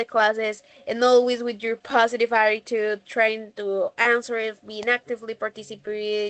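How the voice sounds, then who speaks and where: A woman speaks with a Colombian accent at a fairly high pitch. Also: dry, close sound with no echo. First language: Spanish. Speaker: English teacher. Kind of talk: class feedback. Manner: hesitant, many fillers.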